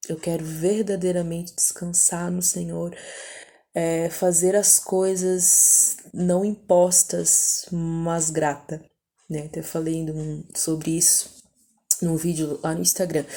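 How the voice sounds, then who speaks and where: Her speech comes at a very slow pace with monotone, flat intonation. This woman has a fairly low pitch. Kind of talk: personal testimony. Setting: at home at night. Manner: soft-spoken; casual, hesitant.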